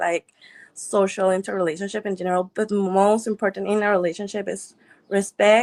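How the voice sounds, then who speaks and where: With a non-native accent, a woman of medium pitch speaks at a moderate pace in a dry, close sound with no echo. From Mexico. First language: Spanish. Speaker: dating show contestant. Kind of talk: interview.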